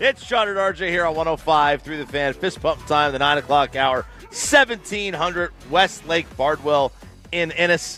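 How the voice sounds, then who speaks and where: A man talks at a moderate pace in a fairly high voice, his pitch moving in an ordinary way while music plays in the background. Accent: American. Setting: radio broadcast.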